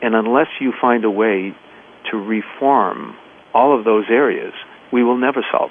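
Speech comes at a moderate pace. It carries an American accent. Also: man. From US Northeast, Boston. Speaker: environmental nonprofit president. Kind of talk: radio interview.

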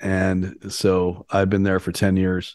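A man with a Canadian accent speaks at a fairly low pitch. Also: quiet background. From Canada, Ontario. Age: 50s. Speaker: CEO coach and suicide-prevention activist. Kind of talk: interview conversation.

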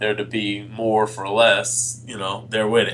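Speech comes at a moderate pace with an American accent. Background noise is noticeable. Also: man. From Connecticut. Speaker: radio host. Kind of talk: casual talk radio show.

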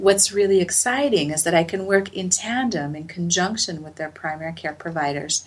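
A woman's unremarkable speaking voice, fairly low in pitch, at a moderate pace with ordinary pitch variation, big swings in loudness and hardly any pauses. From US, Utah (Salt Lake City). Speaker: acupuncturist and researcher. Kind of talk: interview.

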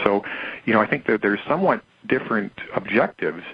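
A very fast pace and a Canadian accent amid noticeable background noise. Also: man. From Canada. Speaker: precious metals writer. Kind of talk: interview.

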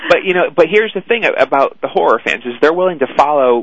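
Male speech with ordinary pitch variation. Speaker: talent agent. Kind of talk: casual interview chat. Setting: phone call.

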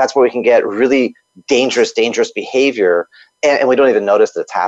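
A man's voice is heard in a dry, close sound with no echo. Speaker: kung fu instructor and author. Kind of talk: interview.

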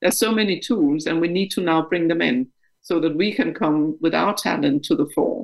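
With a Danish accent, a woman speaks at a moderate pace in a fairly low voice with lively intonation. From Denmark. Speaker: company board director. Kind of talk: interview.

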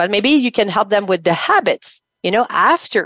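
In a dry, close sound with no echo and a quiet background, a woman with a French accent speaks at a moderate pace in a fairly high pitch. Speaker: business coach. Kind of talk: interview. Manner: halting, many fillers.

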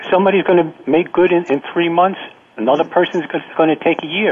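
A man speaks at a fairly quick pace and a high pitch. Noticeable background noise runs behind him. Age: 50s. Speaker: caller, former guest. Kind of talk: call-in comments. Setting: phone call. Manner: halting, repeats words.

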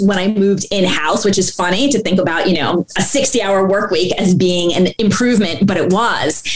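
Noticeable background noise surrounds a woman speaking at a medium pitch. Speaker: company founder. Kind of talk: interview.

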